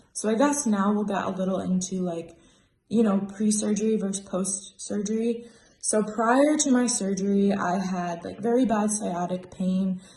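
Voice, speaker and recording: A woman speaks in a normal speaking voice at a medium pitch. Her pace is moderate and her pitch variation ordinary. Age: 20s. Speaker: spine surgery patient. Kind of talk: patient testimonial. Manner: casual, conversational.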